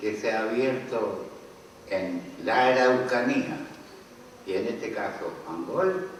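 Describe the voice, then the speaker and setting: Very slow male speech amid audible room echo and noticeable background noise. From Chile. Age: 80s+. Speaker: author. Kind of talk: book launch talk.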